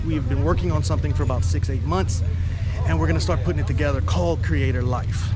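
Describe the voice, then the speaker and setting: Clear music plays in the background as a man speaks in a dry sound with no echo. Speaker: vlogger. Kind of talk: casual vlog chat. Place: open country. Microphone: phone near.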